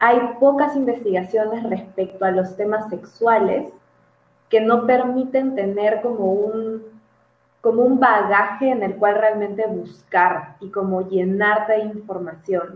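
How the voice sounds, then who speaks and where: A woman with a fairly high pitch talks at a very slow pace, her intonation fairly even. Audible room echo surrounds her voice. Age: 20s. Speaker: psychologist. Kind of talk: casual interview.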